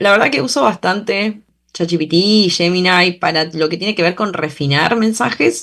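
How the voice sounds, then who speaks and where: At a moderate pace, a woman speaks in a medium pitch with lively intonation. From Argentina, Bahía Blanca. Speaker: journalist and political scientist. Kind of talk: interview. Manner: halting, many fillers and restarts.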